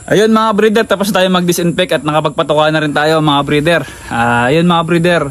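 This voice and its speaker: A man talks at a fairly quick pace in a high voice, with ordinary pitch variation and very even loudness. Noticeable background noise runs underneath. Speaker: gamefowl breeder vlogger. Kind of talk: casual vlog talk.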